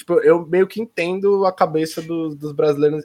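At a moderate pace, a man speaks in an unremarkable speaking voice pitched fairly high. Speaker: esports pro player. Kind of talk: casual chat. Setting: live stream.

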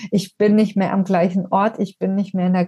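A woman's somewhat breathy, dark, mellow voice, monotone and flat in intonation, at a moderate pace. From southern Germany (Ulm, Swabia). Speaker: trauma therapist and end-of-life companion. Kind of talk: personal testimony in interview.

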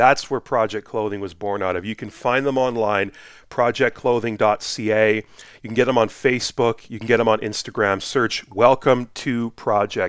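A man with an Albertan accent at medium pitch and a moderate pace, his intonation fairly even, in a very clean recording with a silent background. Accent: Canadian (Alberta). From Edmonton, Alberta. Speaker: podcast host. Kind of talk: casual interview.

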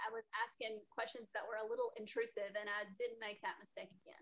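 Her pitch high, the woman keeps her intonation fairly even. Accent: American. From US South. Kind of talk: casual interview chat.

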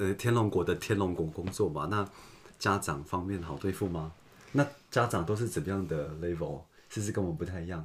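Fairly quick and somewhat breathy, a man talks with a very deep, low pitch and ordinary pitch variation. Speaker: podcast host. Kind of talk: casual chat.

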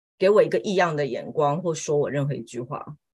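Somewhat breathy, a woman speaks with a Taiwanese accent. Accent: Taiwanese Mandarin. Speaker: homemaker and part-time Chinese teacher. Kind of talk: casual chat.

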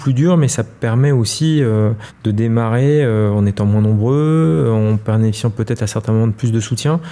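The speech moves at a moderate pace with ordinary pitch variation, with noticeable background noise behind it. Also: man. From Paris. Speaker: entrepreneur. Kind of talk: interview conversation. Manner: hesitant, with frequent repetitions.

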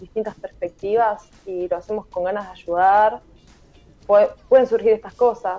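This woman talks at a fairly slow pace. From Argentina, Buenos Aires province. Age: 20s. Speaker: tech startup founder. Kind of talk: interview. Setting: video call.

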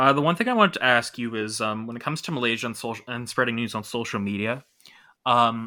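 A man with a Canadian accent at a very fast pace, medium in pitch, with a bright, sharp tone and fairly even intonation, on a very clean recording with a silent background. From Toronto, Canada. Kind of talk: casual news discussion.

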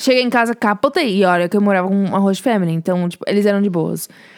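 This woman has a normal speaking voice at a medium pitch. Her pitch variation is ordinary. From Brazil, São Paulo. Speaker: podcast co-host, student. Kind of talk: casual chat, storytelling.

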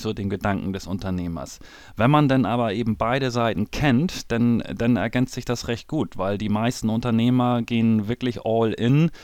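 Moderately paced, a man talks at medium pitch with ordinary pitch variation. The recording is very clean, with a silent background. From northern Germany, Hamburg. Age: 40s. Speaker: trader and former business owner. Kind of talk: interview. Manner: hesitant, many fillers and repetitions.

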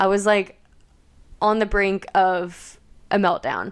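On a very clean recording with a silent background, a woman with an American accent speaks in a monotone, flat intonation. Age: 20s. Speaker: podcast host. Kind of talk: solo podcast monologue.

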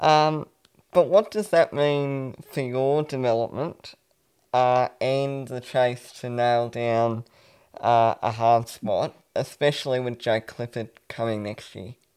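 In an Australian accent, a man with a medium pitch and ordinary pitch variation speaks at a very slow pace with big swings in loudness. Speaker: sports podcast co-host. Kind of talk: casual interview.

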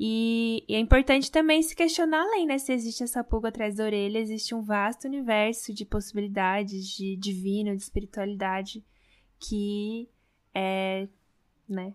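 In a very clean recording with a silent background, a woman speaks at a moderate pace in a plain, everyday voice, fairly high in pitch with ordinary pitch variation. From Brazil. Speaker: podcast host. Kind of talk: podcast interview.

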